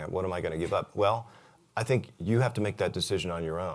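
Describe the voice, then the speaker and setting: Very clean and set against a silent background, the recording holds a man with a fairly low pitch talking very fast with ordinary pitch variation. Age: 60s. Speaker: real estate agent and investor, conference speaker. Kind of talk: conference talk. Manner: casual, conversational with fillers.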